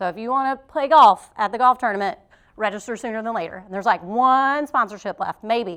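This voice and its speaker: A woman talks at a fairly quick pace in a high pitch. Her intonation is lively. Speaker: chamber of commerce committee member. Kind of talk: event announcements. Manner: fast.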